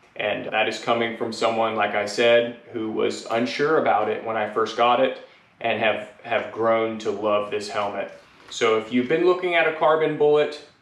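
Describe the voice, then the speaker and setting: A man's moderate-paced speech, with ordinary pitch variation, rings with audible room echo. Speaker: helmet reviewer. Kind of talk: product review talk. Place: garage. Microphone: camera far.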